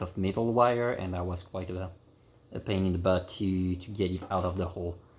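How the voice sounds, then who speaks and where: A man's very deep, low voice, somewhat breathy, in a French accent, with monotone, flat intonation at a moderate pace. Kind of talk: DIY repair tutorial. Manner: casual, hesitant with fillers.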